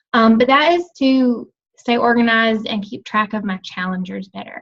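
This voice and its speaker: A normal speaking voice from a woman, pitched fairly high. She speaks at a moderate pace with ordinary pitch variation. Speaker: team coach. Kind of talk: team call presentation.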